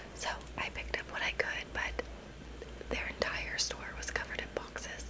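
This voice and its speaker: At a moderate pace, a woman is whispering. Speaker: ASMR creator. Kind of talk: ASMR haul video, casual talk to camera. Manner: whispered, soft-spoken. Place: home room. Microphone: phone near.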